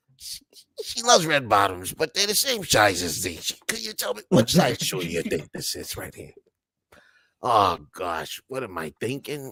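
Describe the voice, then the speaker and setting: Putting on a raspy character voice with a weary tone, a man speaks at a moderate pace and a medium pitch, with very wide pitch swings and big swings in loudness. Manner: rumpled, world-weary.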